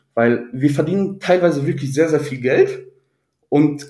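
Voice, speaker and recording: This man's voice is fairly high, with a dark, mellow tone and a somewhat breathy quality. He speaks at a moderate pace with ordinary pitch variation, and the room echo is audible. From Ruhr area, Germany. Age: 20s. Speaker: IT employee. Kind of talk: interview. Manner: halting, many fillers.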